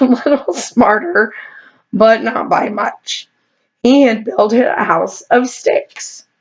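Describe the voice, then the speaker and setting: Using a put-on character voice, a woman sounds raspy and fairly high-pitched as she speaks at a very slow pace. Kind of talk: bedtime story. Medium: read story.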